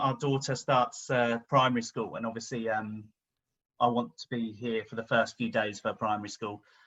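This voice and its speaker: A man with an English accent talks at a moderate pace in a bright, sharp tone. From England, Devon. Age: 50s. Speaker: interview guest, travel vlogger. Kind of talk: casual interview. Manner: hesitant, many fillers.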